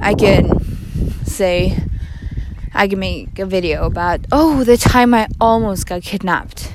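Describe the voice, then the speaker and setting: A woman talks at a fairly slow pace in a medium-pitched voice with ordinary pitch variation. Long, frequent pauses break her speech, and background noise is noticeable. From Norway. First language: Norwegian. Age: 20s. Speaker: student podcaster. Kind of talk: casual monologue. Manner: animated.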